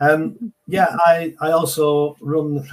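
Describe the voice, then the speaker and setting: A man talks with a Manchester accent. His voice is somewhat breathy. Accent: Greater Manchester English. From northern England, Oldham near Manchester. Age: 60s. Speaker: entrepreneur and martial arts instructor. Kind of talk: podcast interview. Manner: repetitive, halting starts.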